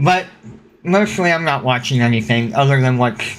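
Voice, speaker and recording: A man's lively, moderately paced speech against noticeable background noise. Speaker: podcast host. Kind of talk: casual chat. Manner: loud.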